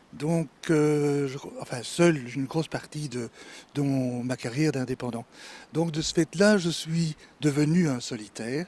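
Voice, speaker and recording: Speaking at a fairly slow pace with long, frequent pauses, this man has a fairly high pitch and ordinary pitch variation. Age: 60s. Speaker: retired florist. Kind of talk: interview.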